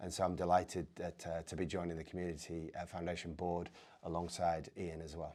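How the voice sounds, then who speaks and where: A man with an American accent speaks at a fairly quick pace in a very deep, low voice, his intonation flat and monotone, on a very clean recording with a silent background. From northern England, Yorkshire. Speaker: football club chief executive. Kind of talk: interview.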